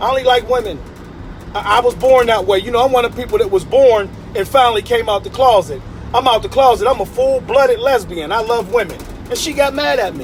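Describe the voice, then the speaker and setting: A man talks at a very fast pace in an animated tone with lively intonation, against noticeable background noise. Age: 50s. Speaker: motivational speaker. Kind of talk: motivational talk. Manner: repetitive stammering.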